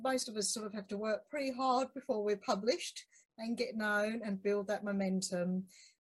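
This woman's voice is somewhat breathy and fairly high in pitch. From UK. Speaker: podcast host. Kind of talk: casual interview. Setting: video call.

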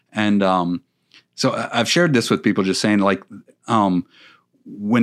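A man's ordinary speaking voice, fairly low in pitch, at a moderate pace with lively intonation, in a very clean recording with a silent background. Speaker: youth pastor. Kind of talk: casual interview. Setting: studio.

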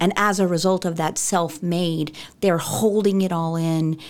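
A normal speaking voice from a woman, fairly low in pitch, at a moderate pace with fairly even intonation. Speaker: operations director. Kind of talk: casual chat.

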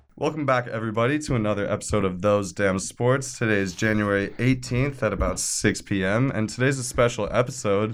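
This man talks in a normal speaking voice at a medium pitch, with ordinary pitch variation. His pace is fairly quick, with hardly any pauses. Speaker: podcast host. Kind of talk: casual podcast chat.

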